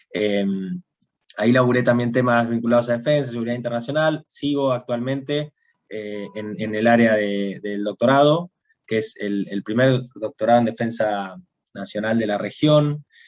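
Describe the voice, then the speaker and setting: Here a man speaks in a Rioplatense accent at a moderate pace. His pitch is medium, with ordinary pitch variation. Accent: Argentine Rioplatense Spanish. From Argentina, Bahía Blanca. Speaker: international relations professional. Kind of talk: panel talk on video call. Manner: halting, many repetitions and fillers.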